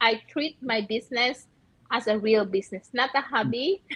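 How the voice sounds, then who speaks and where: In a Filipino accent, a woman speaks at a moderate pace with lively intonation over noticeable background noise. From Philippines. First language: Filipino language. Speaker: nurse and online business owner. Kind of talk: live stream interview.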